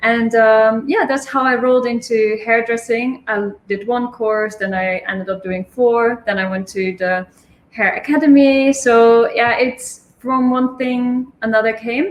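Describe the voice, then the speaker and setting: A woman with a Dutch accent speaks at a fairly slow pace with hardly any pauses, a fairly high pitch and ordinary pitch variation. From Netherlands. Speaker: hairstylist and communication coach. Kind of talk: casual interview chat.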